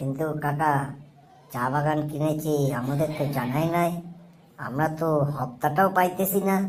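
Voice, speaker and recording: In a cartoonish character voice at a middle pitch, the speaker goes at a moderate pace. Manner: gruff, impatient.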